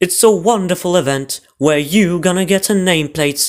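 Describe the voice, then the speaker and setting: Putting on a character voice, a man speaks high for a man at a moderate pace. His loudness stays very even. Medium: read story.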